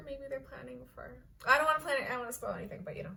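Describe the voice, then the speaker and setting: A woman speaks with an American accent. Her pitch makes very wide swings. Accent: sounds American. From Kenya. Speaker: online fiction writer and vlogger. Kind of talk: casual vlog chat. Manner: casual, filler-heavy.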